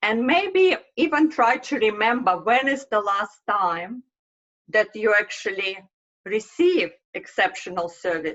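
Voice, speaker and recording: A woman with a Russian accent speaks at a fairly high pitch, her voice making very wide pitch swings. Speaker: marketing consultant. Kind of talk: presentation. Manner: halting.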